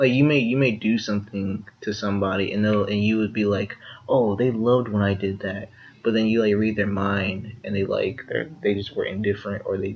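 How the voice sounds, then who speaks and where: This man's fairly low voice is somewhat breathy, with fairly even intonation. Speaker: podcast co-host. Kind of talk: casual chat. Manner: halting, many fillers and repeats. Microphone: poor audio quality.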